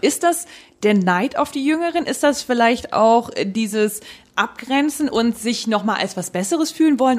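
A woman speaks with very wide swings in pitch. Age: 30s. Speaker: podcast co-host. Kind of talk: casual chat.

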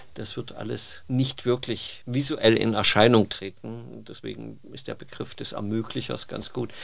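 A man's normal speaking voice at a medium pitch, fairly slow in pace, with fairly even intonation. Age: 50s. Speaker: bathroom industry trend scout. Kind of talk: interview. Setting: studio. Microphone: occasional sound problems.

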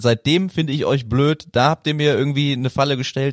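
In a plain, everyday voice, a man with a fairly high pitch talks at a fairly quick pace, in a very clean recording with a silent background and a dry, close sound with no echo. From Germany, Bonn. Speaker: sports podcast host. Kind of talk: casual chat.

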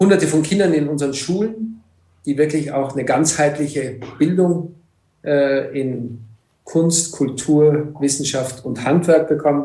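Fairly high, somewhat breathy male voice with a dark, mellow tone, ordinary pitch variation and a fairly slow pace, plus audible room echo. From Egypt. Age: 50s. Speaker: entrepreneur. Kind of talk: interview. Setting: video call.

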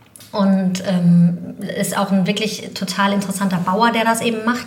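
Speech at a moderate pace has monotone, flat intonation, with audible room echo and noticeable background noise. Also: woman. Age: 40s. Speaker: communications consultant, restaurant co-founder. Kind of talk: casual interview chat.

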